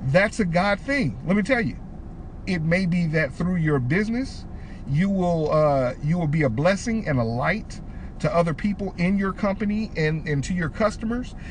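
Against noticeable background noise, a man talks with lively intonation in a high pitch. His pace is moderate. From Detroit, Michigan. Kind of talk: casual faith-teaching chat.

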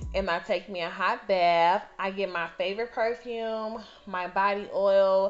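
This speaker has an animated tone. The pace is fairly slow. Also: woman, medium pitch for a woman. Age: 30s. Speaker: podcast host. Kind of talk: casual monologue.

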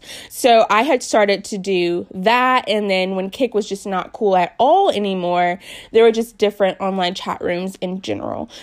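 A woman's medium-pitched voice with an American accent, moderate pace, hardly any pauses and ordinary pitch variation, in a very clean recording with a silent background. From US South, Newport News, Virginia. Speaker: faith podcast host. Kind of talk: personal testimony.

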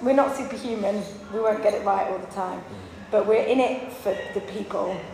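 Noticeable background noise and audible room echo surround a woman speaking at a fairly high pitch and a moderate pace, with ordinary pitch variation. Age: 40s. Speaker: worship pastor and radio producer. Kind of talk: seminar talk. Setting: conference seminar room with audience.

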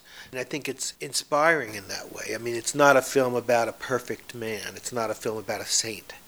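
An ordinary speaking voice at a fairly quick pace, with hardly any pauses and big swings in loudness. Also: man, medium pitch for a man, fairly even intonation. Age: 60s. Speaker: activist preserving a civil rights leader's legacy. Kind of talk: interview.

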